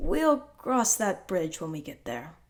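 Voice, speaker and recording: A put-on character voice, raspy and strained, moves at a fairly slow pace with very wide pitch swings. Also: woman, medium pitch for a woman. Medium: read story. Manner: calm, restrained.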